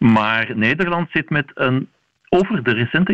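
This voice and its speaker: Very wide pitch swings mark this man's speech, delivered at a fairly slow pace. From Belgium. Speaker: vaccination specialist, university professor. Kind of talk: radio interview.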